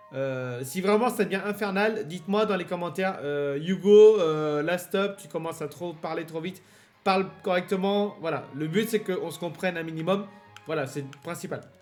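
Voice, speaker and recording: Over music in the background, a man with a high pitch and ordinary pitch variation speaks at a moderate pace, his loudness swinging widely. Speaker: let's play gamer. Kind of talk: gameplay commentary. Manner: hesitant, many fillers.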